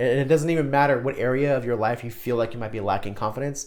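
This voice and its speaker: A man's very fast, animated voice at a medium pitch. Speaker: self-help video creator. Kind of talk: motivational vlog talk. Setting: recording alone to camera.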